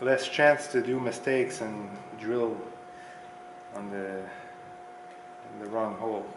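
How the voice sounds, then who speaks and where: A man with a Quebec accent at a very slow pace, amid noticeable background noise. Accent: French-Canadian accent in English. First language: French. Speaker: mechanic. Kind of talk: tutorial. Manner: halting, with repeated words. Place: garage.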